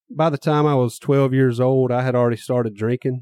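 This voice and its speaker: A man with a Mississippi accent speaks at a fairly quick pace with a dark, mellow tone. His medium-pitched voice comes through with a dry, close sound with no echo. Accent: Southern US (Mississippi). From US South, small-town Mississippi. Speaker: podcast host. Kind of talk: testimony.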